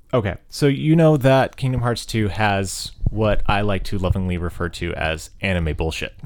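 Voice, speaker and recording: A man with a plain, everyday voice, fairly low in pitch, lively in intonation, at a moderate pace with hardly any pauses. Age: 30s. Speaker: podcast host. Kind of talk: casual chat.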